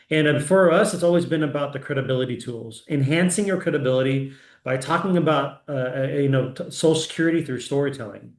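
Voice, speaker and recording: Fairly high in pitch, a man rushes at a very fast pace with hardly any pauses. His pitch varies in an ordinary way, and audible room echo is present. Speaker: founder and president of annuity agent network, sales trainer. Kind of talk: live sales training webinar. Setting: live online session with screen share. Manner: frequent fillers and restarts.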